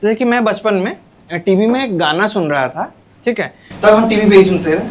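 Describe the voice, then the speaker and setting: A man speaks at a moderate pace with a high pitch. His intonation is lively, in an Odia accent. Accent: Odia accent in Hindi. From Odisha, India. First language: Odia (speaking Hindi). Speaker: stand-up comedian. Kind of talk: stand-up.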